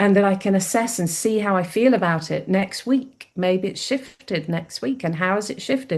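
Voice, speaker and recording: Against a quiet background, a woman speaks at medium pitch with ordinary pitch variation in an unremarkable speaking voice. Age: 60s. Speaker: psychic medium. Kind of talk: interview.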